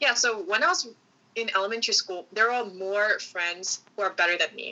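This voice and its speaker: In a Korean accent, a woman talks at a moderate pace and a fairly high pitch with lively intonation. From South Korea, Seoul Gangnam Daechi area. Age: 20s. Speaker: student. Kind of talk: podcast interview. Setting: video call. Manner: halting.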